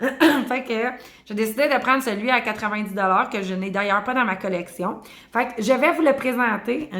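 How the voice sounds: In a hoarse, put-on character voice, the speaker talks at a moderate pace. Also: woman, fairly high pitch for a woman.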